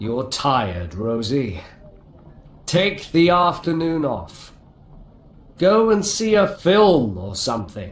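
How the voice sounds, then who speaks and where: A man does a put-on character voice at a fairly high pitch and fairly slow pace, with very wide pitch swings, long, frequent pauses and audible echo. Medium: audio drama.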